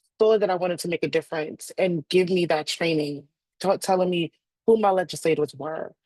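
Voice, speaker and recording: A woman speaks at a moderate pace in an unremarkable speaking voice. Her pitch is medium. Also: dry, close sound with no echo. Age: 30s. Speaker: HIV community advocate. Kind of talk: panel discussion.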